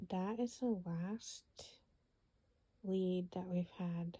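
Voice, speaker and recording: The pace is very slow. Long pauses come often. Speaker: true crime ASMR storyteller. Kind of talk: true crime story narration. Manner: whispered.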